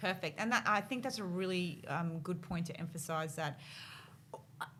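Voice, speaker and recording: A woman talks with an Australian accent in a fairly low pitch and a bright, sharp tone. Her pace is moderate, with ordinary pitch variation. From North Queensland, Australia. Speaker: podcast host. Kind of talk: casual interview chat.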